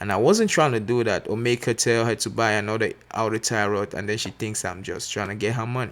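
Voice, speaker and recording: A man at a very fast pace with hardly any pauses, medium pitch and fairly even intonation. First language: not English. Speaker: mechanic apprentice. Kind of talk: tutorial. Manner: casual, filler-heavy.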